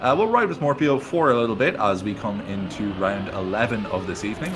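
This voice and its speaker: A man talks at a fairly quick pace with a slight Irish accent. Music plays in the background, and room echo is audible. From Ireland. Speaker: esports caster. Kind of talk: casual chat; live commentary. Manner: hesitant fillers.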